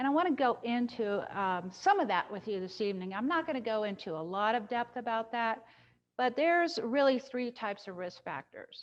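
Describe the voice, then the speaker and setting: Fairly high in pitch, a woman with an ordinary speaking voice talks at a fairly quick pace. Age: 60s. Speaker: dietitian teaching a cooking class. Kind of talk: virtual cooking class and health talk. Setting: video call.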